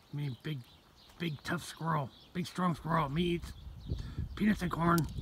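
Put-on character voice from a man, fairly high-pitched, at moderate speed. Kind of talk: broken, primitive speech. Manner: mocking, silly.

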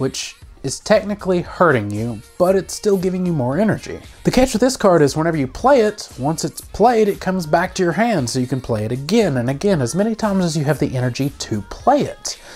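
A woman speaks at a fairly quick pace with a fairly low pitch. Her pitch swings very widely while music plays in the background. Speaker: card game channel host. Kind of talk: game strategy explainer. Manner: casual.

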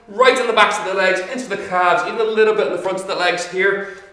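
A man talks at a very fast pace. Room echo is audible. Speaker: fitness instructor. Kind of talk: workout instruction. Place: empty room.

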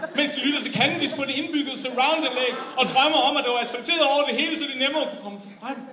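The voice is raised and projected, speaking at a very fast pace with fairly even intonation. Noticeable background noise can be heard. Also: man, extremely high pitch for a man. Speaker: slam poet. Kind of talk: slam poem, performed spoken word with comic satire on Copenhagen versus the provinces. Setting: stage with audience. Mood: ironic, humorous. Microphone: camera far.

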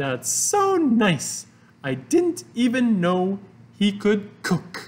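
Putting on a character voice, a man talks at a very slow pace in a high pitch, his pitch swinging very widely.

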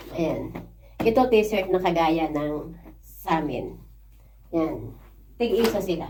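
Very slowly and with long, frequent pauses, a woman speaks at a fairly low pitch with ordinary pitch variation, amid audible room echo and noticeable background noise. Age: 50s. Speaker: overseas worker vlogger. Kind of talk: casual vlog thank-you message.

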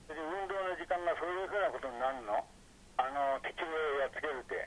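A man's fairly high voice races along very fast, with ordinary pitch variation. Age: 80s+. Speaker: war survivor recounting childhood. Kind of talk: interview answer. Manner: casual, colloquial storytelling.

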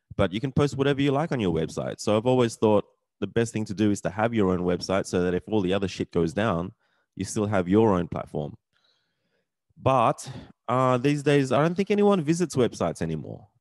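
Against a quiet background with a dry sound and no echo, a man speaks at a fairly quick pace in a fairly low pitch with lively intonation. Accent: Australian. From Australia. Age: 40s. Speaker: vlogger. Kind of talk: casual rant vlog. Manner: animated, sweary, ranting; casual, rambling with frequent fillers. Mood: frustrated, resigned. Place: home room. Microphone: studio mic.

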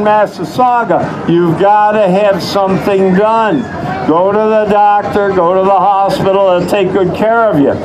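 Against noticeable background noise, a man with a high voice talks fairly slowly and with fairly even intonation. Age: 70s. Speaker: rattlesnake show presenter. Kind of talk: live show patter to audience. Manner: folksy, joking. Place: stage. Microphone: pa.

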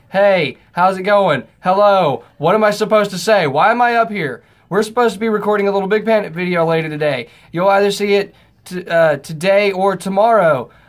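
Over a quiet background, a man with a high-pitched voice speaks at a moderate pace with ordinary pitch variation. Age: 19. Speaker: older brother of the youtuber; vlogger. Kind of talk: casual banter. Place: home room. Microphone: webcam.

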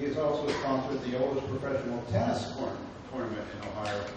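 A man with a medium pitch talks at a fairly quick pace. Strong room echo and noticeable background noise fill the recording. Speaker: professor hosting a lecture series. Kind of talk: speaker introduction. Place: hall.

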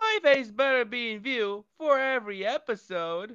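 This female-sounding voice puts on a character voice, pitched high and delivered at a moderate pace. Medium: audio drama. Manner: upbeat, boisterous.

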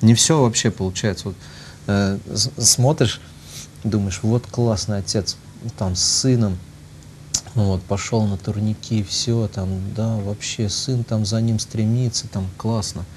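Over light background noise, a man speaks very slowly at a fairly low pitch with fairly even intonation and long, frequent pauses. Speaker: priest. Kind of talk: talk-show discussion, casual anecdote. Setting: studio. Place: studio. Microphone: lapel.

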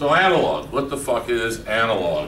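A man's medium-pitched, fairly bright voice with big pitch swings at a moderate pace, with audible room echo.

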